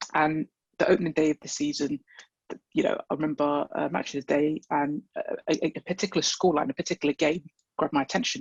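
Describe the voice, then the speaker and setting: Speaking at a very fast pace, a man with a London accent has a fairly high pitch. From London (Wembley). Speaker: football fan. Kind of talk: interview. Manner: halting.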